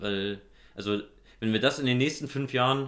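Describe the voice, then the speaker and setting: This man speaks fairly quickly. The intonation he uses is fairly even. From Germany, Hesse (Nidderau, Main-Kinzig). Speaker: local politician and economist. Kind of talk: casual interview. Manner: halting, many fillers.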